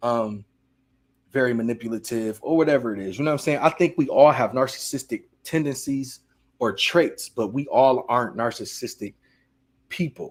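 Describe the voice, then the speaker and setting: Pitch varies in an ordinary way as the speaker talks at a moderate pace. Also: man, medium pitch for a man. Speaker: streamer hosting a reaction show. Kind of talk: casual live-stream chat. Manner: animated, loud.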